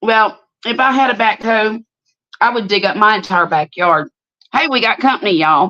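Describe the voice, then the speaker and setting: A woman in a Southern US accent, fairly high-pitched with a bright, sharp tone, talks at a moderate pace with lively intonation, very even loudness and long, frequent pauses, in a dry, close sound with no echo. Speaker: livestream host. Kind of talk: casual chat. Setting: live stream.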